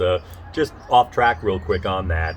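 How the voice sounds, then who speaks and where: At a fairly quick pace, a man speaks with a very deep, low pitch. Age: 60s. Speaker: political candidate. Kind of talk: casual interview. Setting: outdoors on a front porch. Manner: halting, many fillers.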